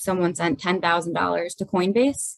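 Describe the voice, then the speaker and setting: A woman uses an ordinary speaking voice, with medium pitch and ordinary pitch variation. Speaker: forensic accountant. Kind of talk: webinar explanation. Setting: video webinar.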